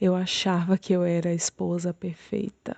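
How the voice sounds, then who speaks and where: Woman with a dark, mellow tone at a medium pitch, monotone, flat intonation, and a dry, close sound with no echo. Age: 30s. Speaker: churchgoer sharing marriage testimony. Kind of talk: testimony.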